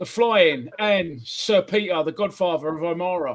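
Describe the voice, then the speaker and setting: A high-pitched man speaks with a South London accent. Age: 40s. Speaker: football podcast host. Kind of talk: casual chat. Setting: livestream. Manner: animated.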